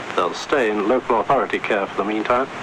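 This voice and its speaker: A man speaks with noticeable background noise. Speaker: radio newsreader. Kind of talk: radio news bulletin read.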